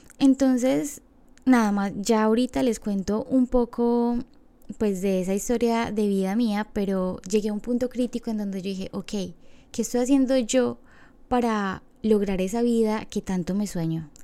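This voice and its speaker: A woman speaks at a fairly slow pace and fairly high pitch, with a dark, mellow tone and ordinary pitch variation, in a very clean recording over a silent background. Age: 20s. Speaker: podcast host. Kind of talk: personal monologue.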